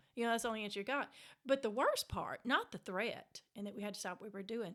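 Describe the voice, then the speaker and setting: A woman with a Mississippi accent, fairly high-pitched, very fast, animated and full of lively intonation. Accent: Southern US (Mississippi). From US South, Mississippi Delta. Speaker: author. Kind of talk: casual interview, storytelling.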